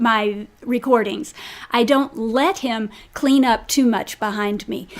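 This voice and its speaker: A woman speaks in a high pitch. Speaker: podcast host. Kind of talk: live podcast conversation. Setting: home workspace recording.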